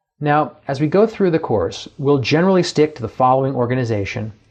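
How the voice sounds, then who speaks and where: With music in the background, a man talks at a fairly quick pace, his fairly high pitch paired with lively intonation. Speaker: professor. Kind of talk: lecture.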